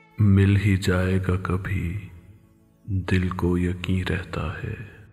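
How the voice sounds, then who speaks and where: A man's very deep, low voice in a monotone, flat intonation, with music in the background. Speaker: poetry reciter. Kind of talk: poetry reading.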